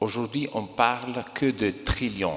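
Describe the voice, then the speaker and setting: A man with an Italian accent, fairly low in pitch, at a very slow pace over noticeable background noise. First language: Italian (speaking French). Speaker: investor. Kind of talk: conference talk.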